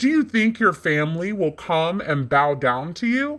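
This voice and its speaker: A man puts on a character voice, pitched high. It moves at moderate pace with very wide pitch swings. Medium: audio drama.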